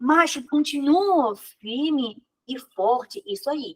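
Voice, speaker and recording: A woman with a Chinese accent speaks in a raised, projected voice, her high pitch carrying a bright, sharp tone. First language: Mandarin Chinese (speaking Portuguese). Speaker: Mandarin teacher. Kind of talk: lecture.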